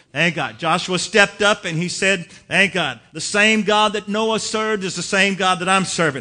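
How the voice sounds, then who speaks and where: Over a quiet background, a raised, projected voice with a bright, sharp tone moves at a moderate pace. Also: man. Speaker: preacher. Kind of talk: sermon. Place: church.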